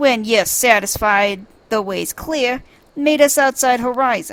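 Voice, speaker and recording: A put-on character voice speaks at a fairly slow pace. Music sits in the background. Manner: gruff, weary, sarcastic.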